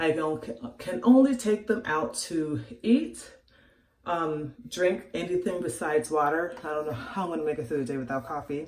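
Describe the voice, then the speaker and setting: Lively intonation moves at a moderate pace, with audible room echo around the voice. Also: woman, very deep, low pitch for a woman. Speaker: vlogger. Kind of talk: casual vlog. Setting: bathroom.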